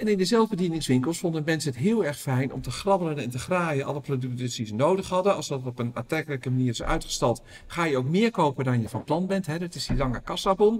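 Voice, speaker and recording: A man talks at a very fast pace with hardly any pauses. His fairly high voice is somewhat breathy with lively intonation. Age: 50s. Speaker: retail researcher and business owner. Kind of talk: interview.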